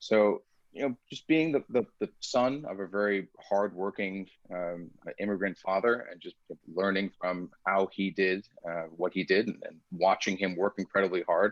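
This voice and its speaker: A man with an Iranian accent speaks at a fairly low pitch and moderate pace, with ordinary pitch variation. His loudness swings widely, and the sound is dry and close with no echo. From United States, child of Iranian immigrants. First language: Farsi. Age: 40s. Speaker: security researcher and startup founder. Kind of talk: interview conversation. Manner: articulate.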